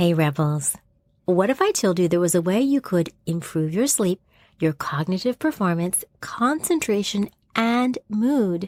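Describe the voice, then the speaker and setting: A woman speaks at a fairly slow pace in a medium pitch, her loudness very even but her pitch swinging very widely, the sound dry and close with no echo. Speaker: podcast host. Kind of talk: podcast ad read.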